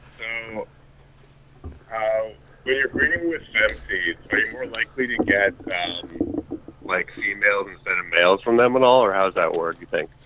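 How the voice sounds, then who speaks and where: Noticeable background noise behind a man's moderate pace. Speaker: caller. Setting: phone call.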